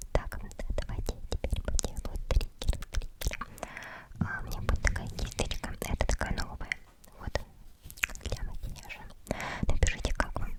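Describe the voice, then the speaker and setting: Whispering at a moderate pace with long, frequent pauses, a woman speaks over noticeable background noise. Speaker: ASMR creator. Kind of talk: ASMR whisper. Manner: close to the mic.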